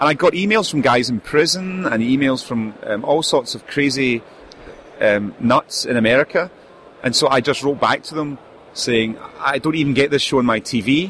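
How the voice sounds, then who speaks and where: A man talks at a moderate speed in a fairly high voice with ordinary pitch variation, noticeable noise behind him. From UK. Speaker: indie game publisher. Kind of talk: casual interview. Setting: convention booth.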